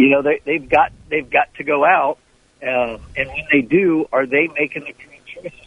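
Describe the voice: In a dry, close recording with no echo, a man with a slightly husky edge talks at a moderate pace, his fairly high pitch held in fairly even intonation.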